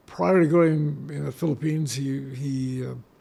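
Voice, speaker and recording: A man with an American accent, fairly high-pitched, at a very slow pace. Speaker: war camp survivor, retired lawyer. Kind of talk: interview. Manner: halting.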